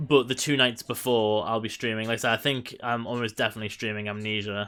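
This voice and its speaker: A man's medium-pitched voice with an English accent, very fast and monotone, with flat intonation. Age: 30s. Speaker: video game streamer. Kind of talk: casual live-stream chat. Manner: halting, many fillers.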